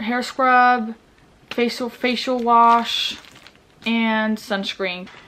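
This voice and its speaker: A woman talks at a very slow pace in a fairly high pitch. Noticeable background noise sits behind her. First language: Norwegian. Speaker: vlogger. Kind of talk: casual vlog packing walkthrough.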